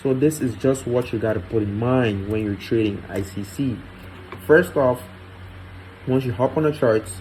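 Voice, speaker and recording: Over noticeable background noise, a man talks with ordinary pitch variation and long, frequent pauses. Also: medium pitch for a man, moderate pace. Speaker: trading educator. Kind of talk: tutorial. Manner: casual.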